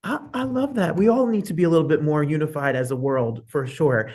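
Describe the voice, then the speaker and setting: Animated in tone, a man speaks at a moderate pace. His voice is somewhat breathy. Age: 40s. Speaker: talk show host. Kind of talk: interview.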